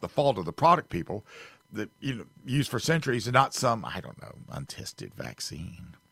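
A man's bright, sharp voice with vocal fry and an American accent, at a moderate pace, with a dry, close sound and no echo. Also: big swings in loudness. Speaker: fill-in radio host. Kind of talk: radio host patter. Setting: radio studio.

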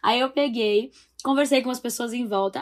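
At a moderate pace and high pitch, a woman talks with fairly even intonation in a very clean recording with a silent background. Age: 20s. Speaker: actress and youtuber. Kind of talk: casual chat.

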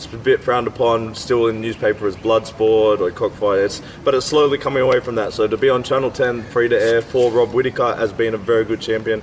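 An Australian-accented man speaks at a very fast pace in a medium-pitched, monotone, flat voice, with noticeable background noise. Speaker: podcast host and MMA fighter. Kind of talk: casual chat. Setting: outdoors.

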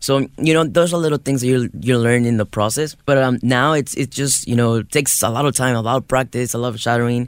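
The speaker talks at a very fast pace with hardly any pauses. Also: man. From Mexico. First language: Spanish. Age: 20s. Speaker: artist. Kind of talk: interview. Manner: enthusiastic.

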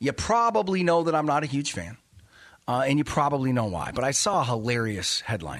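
At a fairly quick pace, a man with a fairly high pitch speaks in an animated tone, his pitch swinging very widely. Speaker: finance radio host and investment officer. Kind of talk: radio show monologue. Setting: radio studio.

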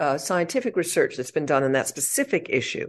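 Over a quiet background, a woman's voice swings very widely in pitch. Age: 70s. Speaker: author and psychologist. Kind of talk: interview conversation. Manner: animated, conversational.

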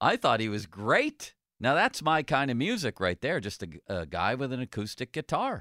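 In a very clean recording with a silent background, a man talks at a moderate pace and medium pitch, his intonation lively, his tone bright and sharp, with vocal fry. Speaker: sports radio host. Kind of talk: casual sports talk show. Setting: radio studio.

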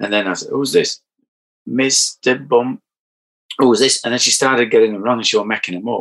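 A man with a Yorkshire accent, his speech broken by long, frequent pauses. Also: fairly quick pace. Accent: broad Yorkshire. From Barnsley, Yorkshire. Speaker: damp surveyor and podcaster. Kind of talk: casual interview chat. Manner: halting, repeats words.

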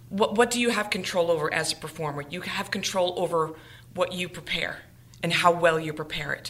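This woman has an ordinary speaking voice with a fairly low pitch. She speaks at a moderate pace with ordinary pitch variation. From Massachusetts, Swansea. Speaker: mezzo-soprano singer. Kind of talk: casual interview. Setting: studio.

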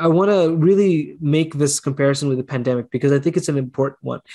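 A man's fairly high-pitched voice, an ordinary speaking voice, with ordinary pitch variation against a quiet background. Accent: Canadian. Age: 30s. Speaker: clean energy researcher and professor. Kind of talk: interview.

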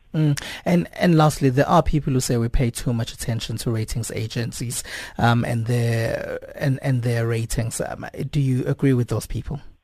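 Noticeable background noise sits behind a man whose pitch is medium. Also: ordinary pitch variation, moderate pace. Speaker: radio news presenter. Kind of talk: news broadcast. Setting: studio.

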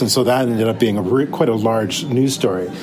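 Over noticeable background noise, a man of medium pitch speaks at a very fast pace with fairly even intonation. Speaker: news videographer. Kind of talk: casual recounting of stories. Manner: casual, rambling, filler words.

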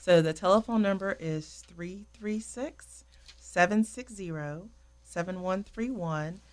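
The speech comes at a very slow pace in a Southern US accent. Loudness swings widely, while pitch variation stays ordinary. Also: woman, medium pitch for a woman. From North Carolina. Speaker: home care operations director. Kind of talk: radio interview. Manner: hesitant, frequent ums.

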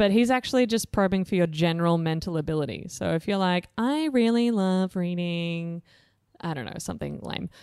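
Speaking with an Australian accent, a woman talks at a fairly low pitch and a fairly quick pace. The recording is very clean, with a silent background. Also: lively intonation. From Australia, Blue Mountains, New South Wales. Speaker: startup organisation CEO. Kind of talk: interview. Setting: boardroom. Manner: animated.

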